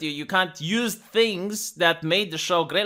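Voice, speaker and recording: The speaker has a non-native accent, captured in a very clean recording with a silent background. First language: not English. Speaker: YouTube commentator. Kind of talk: casual commentary rant. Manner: animated; halting, many repetitions.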